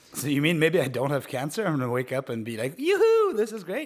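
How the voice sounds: At a very fast pace, a man talks with a fairly high pitch and lively intonation.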